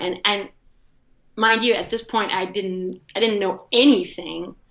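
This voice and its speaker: A woman speaks with a Portuguese accent at a fairly slow pace. Her tone is bright and sharp, at medium pitch with ordinary pitch variation. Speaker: design critic and curator. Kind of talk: interview conversation. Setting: podcast. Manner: animated.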